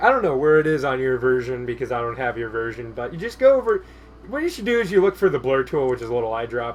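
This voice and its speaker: Over background music, the voice races along at a very fast pace with very wide swings in pitch. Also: man. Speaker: digital art tutorial creator. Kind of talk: tutorial. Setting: screen recording at computer. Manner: soft-spoken; trails off at ends of sentences.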